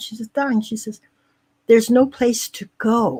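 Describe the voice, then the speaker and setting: At a moderate pace, a woman with an American accent speaks in a fairly high pitch, recorded very cleanly with a silent background. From Indiana, US Midwest. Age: 70s. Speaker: spiritual teacher. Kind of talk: casual interview.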